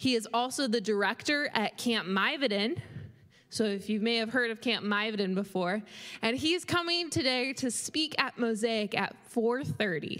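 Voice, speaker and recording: Using a normal speaking voice, a woman at fairly high pitch talks at a fairly slow pace with lively intonation and very even loudness. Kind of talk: announcements. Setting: church.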